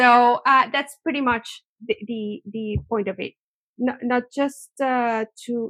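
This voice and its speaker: A woman with a Spanish accent speaks fairly slowly at a high pitch with fairly even intonation, in a dry, close sound with no echo. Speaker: research organisation director. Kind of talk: interview conversation. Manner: halting, repeats words.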